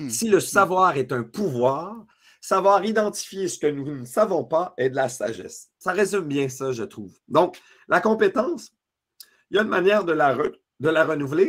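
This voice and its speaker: Over a quiet background, a man with a Quebec accent speaks at a moderate pace in a high pitch, with lively intonation and an energetic tone. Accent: Québécois French. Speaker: leadership speaker and author; speaker. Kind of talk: webinar masterclass. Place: home room. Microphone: video call.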